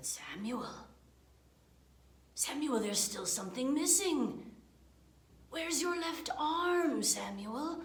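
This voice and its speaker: Putting on a character voice, a woman talks at a high pitch and fairly slow pace, with long, frequent pauses. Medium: read story. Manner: slow, drawn-out, repeats name.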